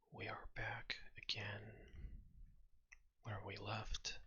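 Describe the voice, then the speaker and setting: Someone is whispering. The pace is very slow. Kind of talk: ASMR gameplay commentary. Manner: whispered.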